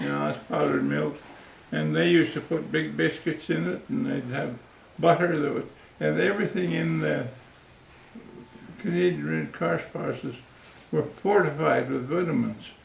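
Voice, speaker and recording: A man talks at a moderate pace with very wide swings in pitch. He leaves long, frequent pauses, and the room echo is audible. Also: medium pitch for a man. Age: 80s+. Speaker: war veteran. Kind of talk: casual chat. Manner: halting.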